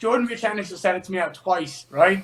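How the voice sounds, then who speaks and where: A man with a high voice and a Dublin accent, talking at a fairly quick pace. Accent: Dublin Irish. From Ireland, Dublin. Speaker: MMA fighter. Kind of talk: interview. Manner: loud.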